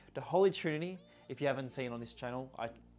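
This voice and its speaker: A man of medium pitch with an Australian accent, music playing in the background. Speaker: football shirt collector and reviewer. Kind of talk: casual product review.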